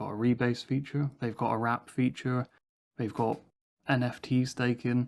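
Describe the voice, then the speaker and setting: The speaker is a man with a medium pitch. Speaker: crypto project founder. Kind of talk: AMA interview answers. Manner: monotone.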